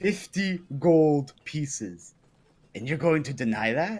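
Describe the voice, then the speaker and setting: Using a loud, booming put-on character voice, a man speaks at a fairly high pitch and a fairly slow pace. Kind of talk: comic overacting. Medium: actual play. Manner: loud, commanding.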